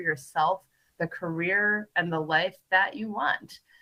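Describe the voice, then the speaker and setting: Enthusiastic in tone, a woman with an American accent speaks at a medium pitch. Her voice is bright and sharp, with ordinary pitch variation and a moderate pace. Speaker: keynote speaker, business leader. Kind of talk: keynote speech.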